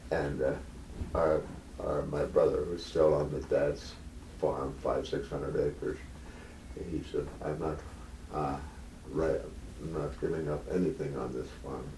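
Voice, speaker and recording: Pausing long and often, a man with an American accent speaks at a fairly slow pace, with audible room echo. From rural North Dakota, US. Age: 80s+. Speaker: retired patient at a doctor visit. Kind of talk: casual chat. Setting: doctor's office.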